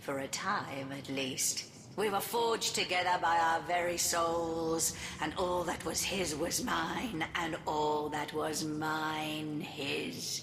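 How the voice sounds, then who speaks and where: In a put-on character voice, a female-sounding speaker goes at a very slow pace with a fairly low pitch over clear background noise. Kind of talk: dark fantasy game villain speech. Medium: game stream. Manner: grandiose, theatrical, condescending.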